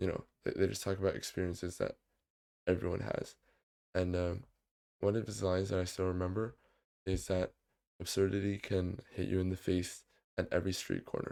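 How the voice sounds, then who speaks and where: A man's very deep, low voice with a dark, mellow tone, flat monotone intonation and a moderate pace, on a very clean recording with a silent background. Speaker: youtuber. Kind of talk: casual vlog monologue. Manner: halting, many fillers and repetitions.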